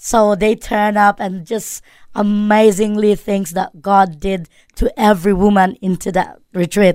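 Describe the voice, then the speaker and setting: A woman with a Filipino accent speaks at a fairly slow pace, her medium pitch held in a monotone, flat intonation. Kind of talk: radio interview. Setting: studio. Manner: halting, many fillers and self-corrections.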